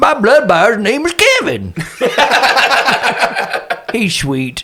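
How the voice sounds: In a put-on character voice with a bright, sharp tone, a man speaks very slowly at an extremely high pitch with very wide pitch swings.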